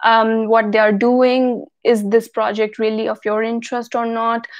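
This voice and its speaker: A woman with an Indian accent speaks at a fairly slow pace. Her fairly high voice stays monotone, with flat intonation. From India, Delhi-NCR. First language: Hindi. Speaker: YouTuber. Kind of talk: live Q&A.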